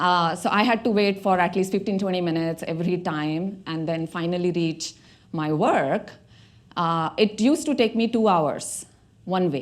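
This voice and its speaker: On a very clean recording with a silent background, a woman with an Indian accent speaks at a moderate pace in a medium pitch with ordinary pitch variation. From India, Mumbai. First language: Marathi. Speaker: tech director. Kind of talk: TEDx talk.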